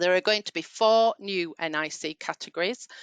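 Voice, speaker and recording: Against a quiet background, a woman with a Yorkshire accent talks with ordinary pitch variation in a dry, close sound with no echo. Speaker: payroll trainer. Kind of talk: webinar training session. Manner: hesitant, many fillers.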